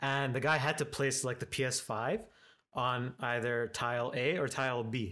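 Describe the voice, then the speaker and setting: A man's medium-pitched, unremarkable speaking voice at a moderate pace, in a very clean recording with a silent background. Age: 20s. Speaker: product designer and 3D printing specialist. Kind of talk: tutorial; casual chat.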